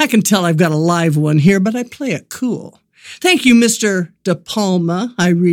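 The background is quiet. Over it, the text is read aloud in a natural voice.

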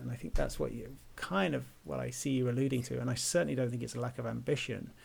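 A man with an English accent at a moderate pace. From England. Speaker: podcast host. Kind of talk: casual interview. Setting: remote call.

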